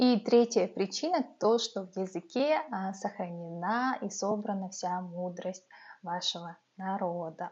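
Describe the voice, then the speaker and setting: A woman's somewhat breathy, medium-pitched voice at a very slow pace, with ordinary pitch variation and big swings in loudness. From Yakutia, Russia (Yakutsk). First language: Yakut (Sakha) (speaking Russian). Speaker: vlogger, mother. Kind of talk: talking-head vlog. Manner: hesitant, many filler sounds.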